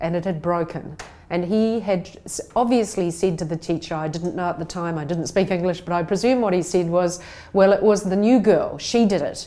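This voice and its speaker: Medium-pitched female speech, ordinary in its pitch variation. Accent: New Zealand. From New Zealand (Christchurch), from Taiwan at age six. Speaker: conference speaker. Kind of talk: recorded talk. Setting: pre-recorded video message.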